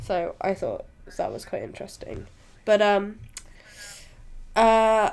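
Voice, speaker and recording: Speaking at a fairly slow pace in a British accent, a woman with a medium pitch is heard on a very clean recording with a silent background. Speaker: podcast host, film reviewer. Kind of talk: casual chat, film review. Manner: halting with fillers.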